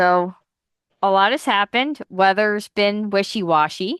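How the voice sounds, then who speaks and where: A woman at a medium pitch, with lively intonation and a very slow pace, in a dry, close sound with no echo and a quiet background. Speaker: podcast host. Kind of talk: casual chat.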